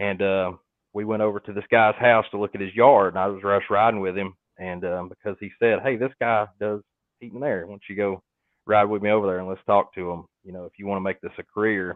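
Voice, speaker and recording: In a Southern US accent, a man with a fairly low pitch speaks at a fairly quick pace in a monotone, flat intonation, with big swings in loudness. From North Georgia, US South. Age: 20s. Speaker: HVAC technician and YouTuber. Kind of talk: casual interview chat. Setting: livestream.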